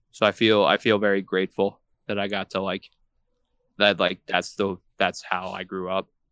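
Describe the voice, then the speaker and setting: Against a very clean recording with a silent background, a man with an American accent speaks at a fairly low pitch in a monotone, flat intonation with long, frequent pauses. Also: moderate pace, dry, close sound with no echo. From New York, Long Island. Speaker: hardcore band musician. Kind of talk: casual chat.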